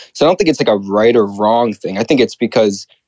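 Speaking at a fairly quick pace with ordinary pitch variation, a man has an unremarkable speaking voice, and the sound is dry and close with no echo. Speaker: caller. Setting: video call.

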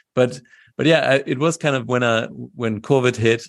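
Over a quiet background, a man talks with vocal fry in a German accent. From Germany. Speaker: wine expert and YouTuber. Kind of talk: interview. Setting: video call.

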